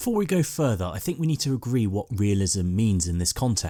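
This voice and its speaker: In a British accent, the voice moves at a fairly quick pace with lively intonation and a dark, mellow tone. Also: man. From Britain. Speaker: army veteran and film commentator. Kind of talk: video essay narration.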